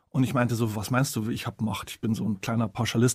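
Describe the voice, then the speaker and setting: On a very clean recording with a silent background and a dry, close sound without echo, a man of medium pitch speaks at a fairly quick pace in a flat monotone. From Bavarian Forest, Bavaria. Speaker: author and journalist. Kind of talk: interview conversation.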